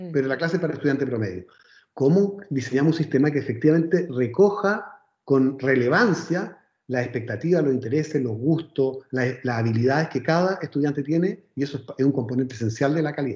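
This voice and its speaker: A man talks somewhat breathily at a fairly quick pace. His pitch is fairly high, with ordinary variation. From Chile, Viña del Mar. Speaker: education specialist. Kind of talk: interview.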